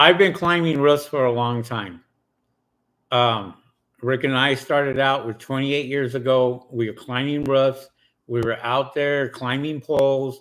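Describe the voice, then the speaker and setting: A man with an unremarkable speaking voice talks at a medium pitch. His pace is fairly slow and his intonation fairly even. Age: 50s. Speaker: solar panel cleaning business owner. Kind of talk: live stream chat.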